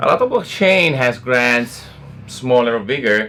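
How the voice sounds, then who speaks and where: There is music in the background. Over it, a man with an Italian accent speaks at a medium pitch. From Italy. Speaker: blockchain foundation representative. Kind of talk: casual interview. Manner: hesitant, many fillers.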